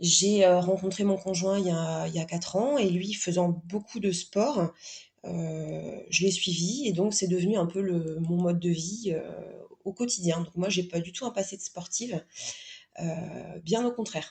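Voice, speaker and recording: A woman speaks fairly slowly with ordinary pitch variation. Her pitch is fairly low. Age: 30s. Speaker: guest sharing pregnancy and sport experience. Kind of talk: podcast interview testimony. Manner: halting, many fillers and repetitions.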